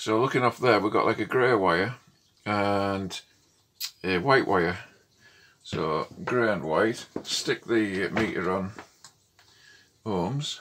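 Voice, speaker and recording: A man speaks at a very slow pace with long, frequent pauses, a fairly low pitch and ordinary pitch variation, over noticeable background noise. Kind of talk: tutorial. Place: workshop.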